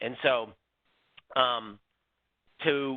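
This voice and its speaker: A man speaks at a medium pitch. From California, US. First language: Spanish. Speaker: bank branch manager. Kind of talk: webinar presentation. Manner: hesitant, many fillers.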